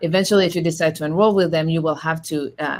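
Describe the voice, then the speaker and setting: With a French accent, a woman speaks in a fairly low pitch and fairly even intonation on a very clean recording with a silent background. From France. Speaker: law school admissions representative. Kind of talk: panel discussion. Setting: virtual event. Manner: hesitant, many fillers.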